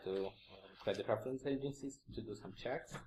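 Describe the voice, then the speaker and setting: A man's dark, mellow voice at a medium pitch, with ordinary pitch variation. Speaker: conference speaker, security engineer. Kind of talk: conference talk. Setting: stage with audience. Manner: hesitant, many fillers.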